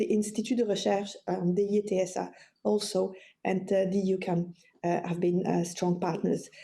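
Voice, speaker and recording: A woman's medium-pitched, dark, mellow voice with a French accent, somewhat breathy, monotone and flat, at a moderate pace and very even loudness. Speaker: psychology professor and suicide researcher. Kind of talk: webinar lecture. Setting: online webinar, screen sharing. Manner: halting, many fillers and repetitions.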